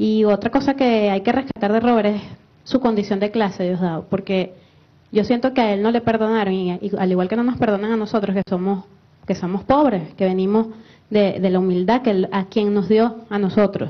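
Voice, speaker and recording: Delivery comes at a moderate pace with fairly even intonation. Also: woman. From Venezuela. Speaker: political activist. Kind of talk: tribute speech on TV panel. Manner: halting, repeats words.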